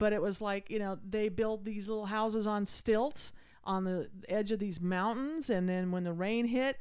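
An American accent with ordinary pitch variation, delivered at a moderate pace. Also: woman. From Utah. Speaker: podcast co-host. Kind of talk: casual chat. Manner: hesitant with many fillers.

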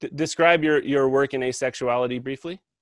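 Recorded dry and close over a quiet background, a man has an unremarkable speaking voice, fairly high in pitch. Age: 40s. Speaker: podcast host. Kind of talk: casual interview conversation. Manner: many fillers and repeated words.

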